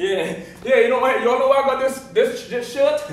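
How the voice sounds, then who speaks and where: A man with lively intonation, with audible room echo around him. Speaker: stand-up comedian. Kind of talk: stand-up comedy routine. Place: stage.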